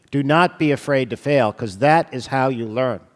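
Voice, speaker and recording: A man at a medium pitch with an unremarkable speaking voice and ordinary pitch variation, in a dry, close sound with no echo. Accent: American. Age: 60s. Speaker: radiologist lecturer. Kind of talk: lecture. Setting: stage with audience.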